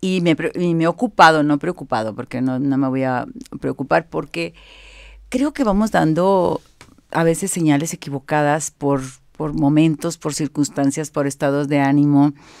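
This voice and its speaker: A woman with a very deep, low pitch speaks at a moderate pace with ordinary pitch variation over a quiet background. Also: dry sound with no echo. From Monterrey, northern Mexico; Mexico. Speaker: image consultant; guest. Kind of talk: interview. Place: home room. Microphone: studio mic.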